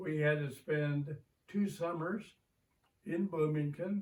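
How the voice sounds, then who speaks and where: A man's somewhat breathy voice at a very slow pace, with ordinary pitch variation. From southern Indiana (Borden). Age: 90s. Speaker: retired teacher. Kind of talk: oral history interview.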